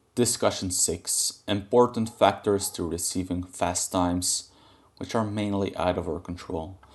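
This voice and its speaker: A man with a non-native accent speaks at a very deep, low pitch and a fairly slow pace. His intonation is fairly even, and the background is quiet. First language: not English. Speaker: gaming guide creator. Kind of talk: tutorial. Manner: halting.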